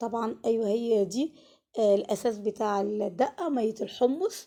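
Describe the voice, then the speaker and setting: A woman with an Egyptian accent speaks at a fairly slow pace in a fairly high voice with a dark, mellow tone. Her pitch varies in an ordinary way, and the recording is very clean with a silent background. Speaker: cooking channel host. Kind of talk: cooking tutorial. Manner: casual, chatty.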